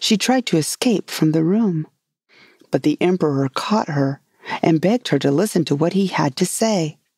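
Captured with a dry, close sound and no echo, a woman with an ordinary speaking voice talks at a moderate pace and a fairly low pitch. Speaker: podcast host and author. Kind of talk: bedtime story reading aloud, scripted folktale narration.

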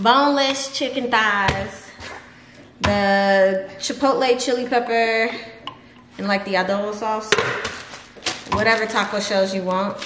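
Noticeable background noise runs under speech delivered at a fairly slow pace. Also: woman. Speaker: home cook vlogger. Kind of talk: casual vlog chat. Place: kitchen. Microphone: camera far.

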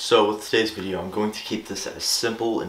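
A man talks fairly quickly, with room echo clearly audible. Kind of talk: tutorial. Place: home room.

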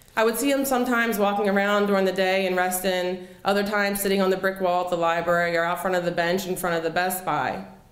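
A woman with an American accent talks at a very fast pace with very even loudness. Audible room echo surrounds her voice. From Philadelphia, US. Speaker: storyteller. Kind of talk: personal storytelling performance. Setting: stage with audience. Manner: animated, conversational, expressive. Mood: earnest, reflective. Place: cafe. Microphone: handheld.

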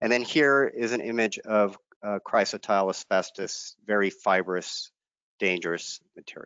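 A fairly low-pitched man speaks with ordinary pitch variation in a dry sound with no echo and a quiet background. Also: moderate pace. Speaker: state environmental regulator. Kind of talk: lecture. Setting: video webinar. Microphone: headset.

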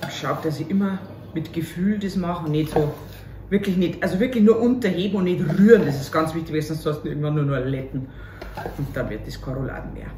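A woman's very deep, low voice at a fairly quick pace, with ordinary pitch variation, light background noise and audible room echo. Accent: Bavarian. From Upper Bavaria, Germany. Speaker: cabaret artist. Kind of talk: casual talk to camera, cooking video. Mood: cheerful, joking. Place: kitchen. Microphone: camera far.

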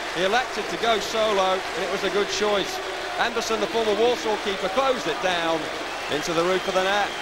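The speech runs at a fairly quick pace. Loud background noise is present throughout. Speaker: football commentator. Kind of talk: live football commentary.

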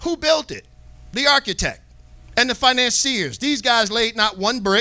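A man speaks in a raised, projected voice at an extremely high pitch. He keeps a moderate pace with ordinary pitch variation over a quiet background. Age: 40s. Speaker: bible teacher. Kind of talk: bible class. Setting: live online class. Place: studio. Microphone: handheld.

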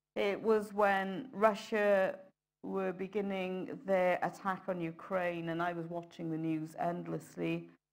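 A woman talks at a very slow pace against a quiet background. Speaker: preacher. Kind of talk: sermon. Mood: solemn, reflective. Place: church.

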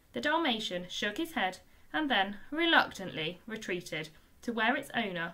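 A natural voice reads the words aloud.

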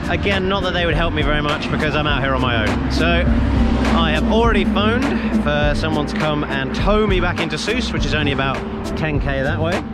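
Music plays in the background as a man talks at a fairly quick pace in a dry sound with no echo. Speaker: travel vlogger. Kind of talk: casual vlog chat. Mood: mildly frustrated, resigned. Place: street. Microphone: phone near.

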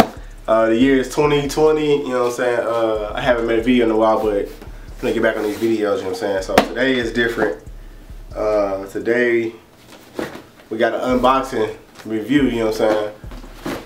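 Fairly quick, fairly even-toned speech from a man, noticeable background noise behind. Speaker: product reviewer. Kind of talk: casual vlog chat. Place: home room.

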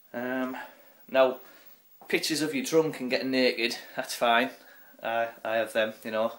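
Long, frequent pauses and fairly even intonation in a northern English accent. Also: man. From northern England. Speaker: vlogger. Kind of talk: angry profane rant. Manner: ranting, loud and sweary; mocking, sarcastic, putting on silly voices. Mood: irritated, mocking rant. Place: home room. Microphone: phone near.

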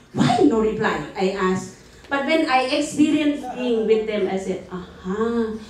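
A woman speaks at a fairly slow pace in a fairly high voice. Audible room echo surrounds her. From Thailand. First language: Thai. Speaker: conference presenter. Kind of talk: conference presentation. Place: meeting room.

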